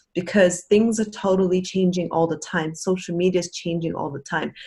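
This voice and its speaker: Somewhat breathy, a woman speaks at a medium pitch and a fairly quick pace with ordinary pitch variation. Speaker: network marketing team member. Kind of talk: casual chat. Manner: fast.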